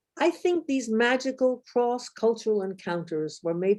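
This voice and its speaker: In an American accent, a woman with a fairly high pitch and a dark, mellow tone talks at a fairly slow pace, her pitch swinging very widely over a quiet background. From USA. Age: 80s+. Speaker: professor. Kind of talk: lecture; reading aloud.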